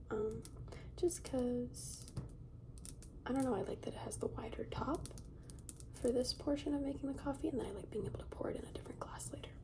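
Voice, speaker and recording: Whispering with long, frequent pauses over noticeable background noise. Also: fairly quick pace. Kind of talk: ASMR soft-spoken talk to camera. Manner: soft-spoken.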